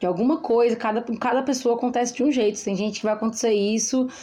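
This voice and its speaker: A woman with a plain, everyday voice speaks at fairly high pitch with ordinary pitch variation. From interior of Brazil. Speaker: podcast co-host. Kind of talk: casual chat.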